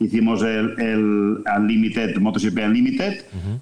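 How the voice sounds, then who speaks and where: A man at a fairly slow pace, monotone and flat in intonation. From Catalonia, Spain (Vic). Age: 60s. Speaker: sports business executive and former journalist. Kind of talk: interview. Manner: halting, frequent repetitions.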